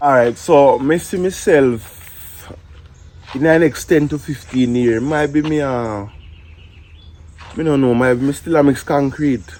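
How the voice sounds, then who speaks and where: Speaking at a fairly slow pace with long, frequent pauses, a man uses a fairly high pitch with ordinary pitch variation. He talks with a Jamaican accent. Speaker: job applicant in comedy skit. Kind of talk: comedy skit dialogue.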